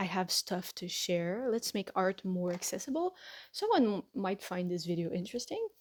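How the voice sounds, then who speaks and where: In a Quebec accent, a woman talks at a fairly slow pace with ordinary pitch variation, in a very clean recording with a silent background and a dry, close sound with no echo. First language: French. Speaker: artist and tattoo artist. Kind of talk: tutorial. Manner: halting, self-correcting.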